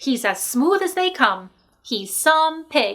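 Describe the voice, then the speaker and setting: Using a put-on character voice, a woman speaks high and at a fairly slow pace, her pitch swinging very widely. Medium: read story. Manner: folksy, agreeable.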